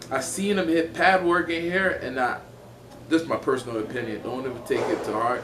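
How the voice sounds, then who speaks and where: Against noticeable background noise and audible room echo, a man uses lively intonation at a fairly high pitch. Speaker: MMA fighter. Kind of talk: casual interview chat.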